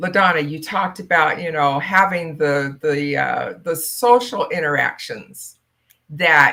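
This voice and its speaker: A woman speaks at a fairly slow pace. Her very deep, low pitch carries a bright, sharp tone. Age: 60s. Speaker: network marketing business mentor. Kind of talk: casual chat.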